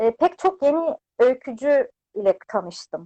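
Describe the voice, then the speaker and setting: The speaker is a woman. Her intonation is lively. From Turkey, Adapazarı. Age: 30s. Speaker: lawyer and author. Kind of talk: interview. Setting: video call.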